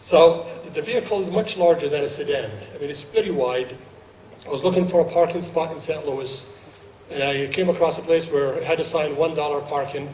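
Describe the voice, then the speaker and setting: A man with an Arabic accent speaks at a fairly quick pace, his pitch fairly high and its variation ordinary. Noticeable background noise runs underneath. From Jordan, Palestinian family, Saudi Arabia. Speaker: naturalized citizen guest speaker. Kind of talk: ceremony speech.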